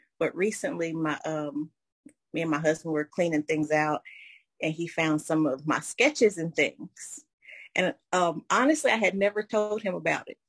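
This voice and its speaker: A woman with an American accent and an unremarkable speaking voice, fairly low in pitch, with ordinary pitch variation at a moderate pace, in a dry, close sound with no echo. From North Carolina (Asheville). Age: 30s. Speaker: coffee shop manager. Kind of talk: interview.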